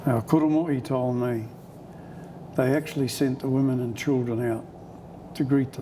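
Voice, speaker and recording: This voice carries a New Zealand accent at a moderate pace. The intonation stays fairly even. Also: man. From Parihaka, Taranaki, New Zealand. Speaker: oral history storyteller. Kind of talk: interview answer.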